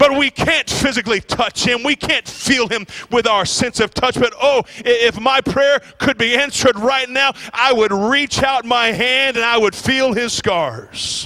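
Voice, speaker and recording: A man talks in a raised, projected voice at an extremely high pitch, with an animated, warm tone. His pace is fairly slow, and background noise is noticeable. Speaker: visiting preacher. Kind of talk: sermon. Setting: church. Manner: animated, call-and-response, urging the congregation to shout amen; warm, fervent, building in intensity.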